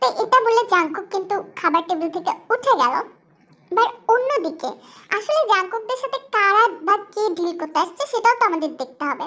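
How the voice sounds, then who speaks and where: A woman speaks at a moderate pace with an extremely high pitch. Her pitch swings are very wide. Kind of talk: informal fan dub narration. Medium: read story. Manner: chatty, addresses audience.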